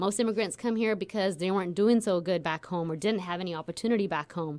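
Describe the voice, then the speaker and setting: This is a woman with a fairly low pitch. Her pitch variation is ordinary. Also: very clean recording, silent background. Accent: American. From Central Valley, California. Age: 40s. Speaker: business executive. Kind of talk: radio interview. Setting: studio.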